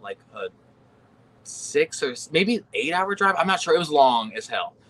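A man talks at a fairly slow pace while noticeable background noise plays underneath. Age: 30s. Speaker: professional wrestler. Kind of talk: casual chat.

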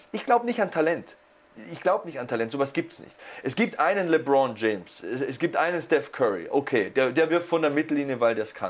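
Animated and fairly quick, a man speaks at a fairly high pitch. His pitch swings very widely, and his loudness rises and falls sharply. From Lower Bavaria, Germany. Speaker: sports commentator (wrestling and MMA). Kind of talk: casual podcast chat.

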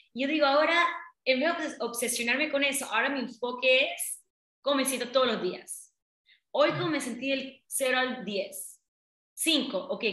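A woman speaks in a high, bright, sharp voice with ordinary pitch variation. Room echo is audible. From Panama, Colón. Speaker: business coach. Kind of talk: interview.

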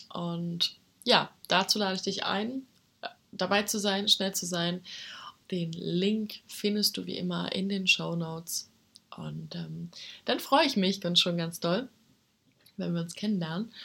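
Long, frequent pauses fill this woman's speech. Her pace is very slow. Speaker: health podcast host. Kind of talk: solo podcast monologue. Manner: casual, with frequent fillers.

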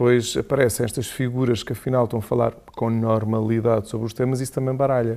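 A man's dark, mellow voice at medium pitch, very fast, with monotone, flat intonation. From Algarve, Portugal (Portimão). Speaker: Jesuit priest, former flight attendant. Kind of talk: casual chat.

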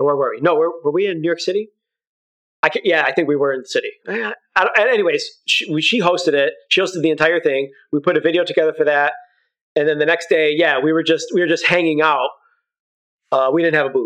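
A man speaks at a very fast pace in a high pitch. His intonation has ordinary pitch variation. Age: 40s. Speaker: documentary filmmaker and video creator. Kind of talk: casual chat. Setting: phone call. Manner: halting.

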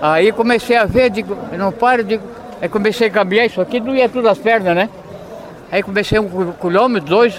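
Amid noticeable background noise, a man talks in a high pitch at a moderate pace, with ordinary pitch variation. His loudness stays very even, and he leaves long, frequent pauses. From Santa Catarina coast, Brazil (São Francisco do Sul). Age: 70s. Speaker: amateur runner, retired fisherman. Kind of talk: post-race interview.

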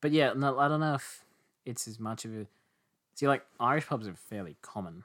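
A man's medium-pitched voice with lively intonation, fairly quick yet broken by long, frequent pauses, in a very clean recording with a silent background. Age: 20s. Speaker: podcast guest. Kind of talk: casual chat.

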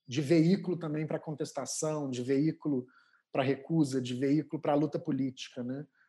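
A man with a fairly high pitch speaks at a moderate pace in a dark, mellow tone. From southern Brazil, Porto Alegre. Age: 40s. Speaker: art curator and DJ. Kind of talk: casual interview. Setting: video call.

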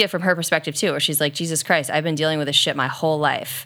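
Against a silent background in a very clean recording, a woman's very deep, low voice carries a bright, sharp tone. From US, rural western. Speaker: podcast co-host. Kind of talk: casual chat.

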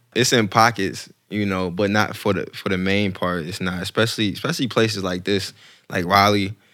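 A man with a normal speaking voice talks at a fairly quick pace and fairly low pitch in an American accent. His intonation is fairly even, and the recording is very clean with a silent background. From North Carolina, Fayetteville. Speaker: rapper and real estate agent. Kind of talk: casual chat.

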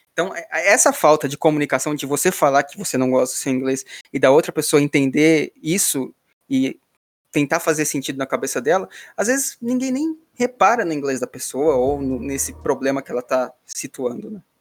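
A man with an unremarkable speaking voice uses lively intonation. The recording is very clean, with a silent background. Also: fairly high pitch for a man, moderate pace. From São Paulo, Brazil. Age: 20s. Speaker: podcast host, iOS developer. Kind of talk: casual chat.

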